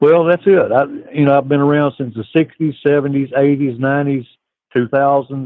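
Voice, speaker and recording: With fairly even intonation, a man speaks at a fairly high pitch and a moderate pace. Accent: Southern US. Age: 60s. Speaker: caller. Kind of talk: call-in chat. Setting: phone call. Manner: halting, filler-heavy.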